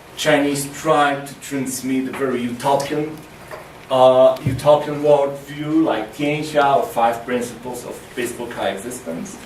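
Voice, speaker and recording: In a room with audible echo and noticeable background noise, a man with a fairly high voice speaks at a fairly slow pace. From Poland. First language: Polish. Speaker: China researcher. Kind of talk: lecture. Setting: university lecture room with audience. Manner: halting, with many fillers.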